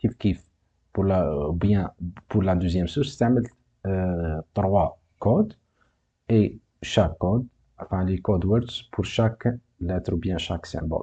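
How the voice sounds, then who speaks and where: Against a quiet background, a man with a very deep, low pitch and a dark, mellow tone speaks somewhat breathily at a moderate pace. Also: ordinary pitch variation. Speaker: university teacher. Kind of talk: lecture, course exercise explanation.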